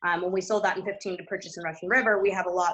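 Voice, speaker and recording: Fairly even intonation and a bright, sharp tone mark this voice with an American accent. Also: woman. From US Northeast, New Jersey. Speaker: winery owner and winemaker. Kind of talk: panel discussion. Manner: casual, many fillers.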